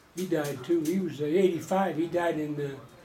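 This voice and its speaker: A man talks at a moderate pace, his fairly high voice holding fairly even intonation despite noticeable background noise. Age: 80s+. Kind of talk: interview answer.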